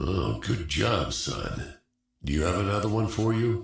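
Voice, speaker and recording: Doing a put-on character voice, a man talks at a moderate pace with a fairly low pitch, ordinary pitch variation, very even loudness and a slight echo. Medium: video game. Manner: clipped military speech.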